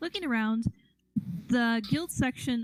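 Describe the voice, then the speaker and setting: Quiet and at a moderate pace, a woman speaks in a dry, close sound with no echo. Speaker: game master. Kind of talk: tabletop role-play narration. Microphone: mic too close picks up mouth sounds.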